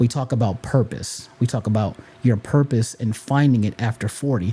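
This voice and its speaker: His dark, mellow, somewhat breathy voice sits at medium pitch as the man speaks at a moderate pace with fairly even intonation. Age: 40s. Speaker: podcast host. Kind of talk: motivational talk.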